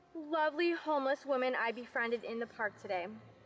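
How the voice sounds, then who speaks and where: Faint music plays behind a woman speaking. Her voice is high and her pace is moderate. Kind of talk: acted comedy dialogue. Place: garden.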